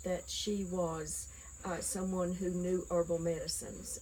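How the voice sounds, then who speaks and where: Speaking at a fairly slow pace, a woman talks in a Southern Appalachian accent. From Appalachia, US (Nolichucky River, East Tennessee). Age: 60s. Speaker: herb knowledge interviewee. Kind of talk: oral history interview. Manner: halting, many fillers.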